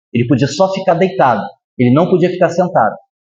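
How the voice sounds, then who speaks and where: Animated and fairly quick, a man speaks with very wide pitch swings. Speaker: spiritist lecturer. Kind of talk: lecture.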